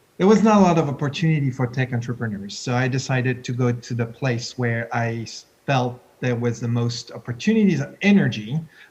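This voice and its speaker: A man speaks with a French accent at a fairly quick pace. His voice is somewhat breathy. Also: medium pitch for a man, ordinary pitch variation. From France. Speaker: tech entrepreneur, CEO of an innovation park. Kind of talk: panel discussion. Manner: halting.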